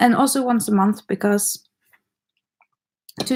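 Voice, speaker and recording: Over music in the background, a woman speaks at a fairly slow pace in a flat, monotone way. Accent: non-native. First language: not English. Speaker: makeup artist and YouTuber. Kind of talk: casual livestream chat. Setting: livestream at home, eating dinner. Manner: hesitant, rusty English.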